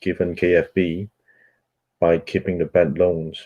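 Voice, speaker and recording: A man with a Cantonese accent speaks in a very deep, low pitch. His tone is dark and mellow. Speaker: book club host. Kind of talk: reading aloud. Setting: audio chat room broadcast.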